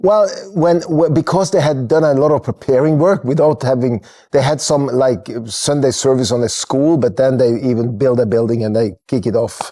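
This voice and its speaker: Recorded very cleanly against a silent background, a man with a Norwegian accent speaks at a moderate pace in a medium-pitched, dark, mellow voice, with ordinary pitch variation and very even loudness. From Norway, Kristiansand. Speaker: church network leader. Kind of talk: podcast interview. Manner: halting.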